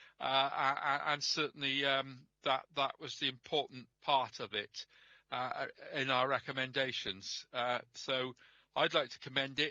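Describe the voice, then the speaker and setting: Recorded in a dry, close sound with no echo, a man speaks with a bright, sharp tone at a fairly high pitch. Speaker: councillor. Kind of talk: council meeting debate. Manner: halting, many fillers; mumbling.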